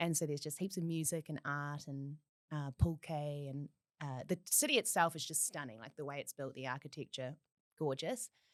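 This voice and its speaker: A woman with a New Zealand accent and a very deep, low pitch speaks at a fairly quick pace with ordinary pitch variation and big swings in loudness, in a dry, close sound with no echo. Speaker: podcast guest. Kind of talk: casual chat.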